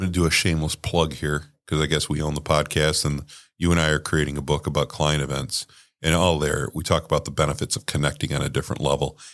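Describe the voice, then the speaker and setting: The speech moves at a very fast pace. Its intonation is monotone and flat. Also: man, very deep, low pitch for a man, very clean recording, silent background. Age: 60s. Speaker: podcast host. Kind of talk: casual chat.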